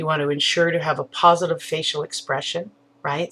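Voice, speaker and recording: A woman's fairly low voice moves along at a moderate pace. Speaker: online marketing entrepreneur giving communication tips. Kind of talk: video tutorial. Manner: loud; animated, expressive.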